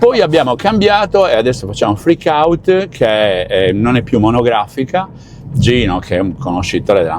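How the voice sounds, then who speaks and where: With noticeable background noise, a man at a medium pitch speaks at a moderate pace, his pitch swinging very widely. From Sardinia, Cagliari. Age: 70s. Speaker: radio host. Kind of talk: casual chat.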